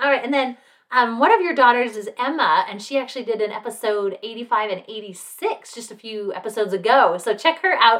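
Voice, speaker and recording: Lively intonation and big swings in loudness mark this fairly quick delivery in an American accent. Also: woman. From Salt Lake City, Utah. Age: 40s. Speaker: podcast host. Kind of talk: casual chat.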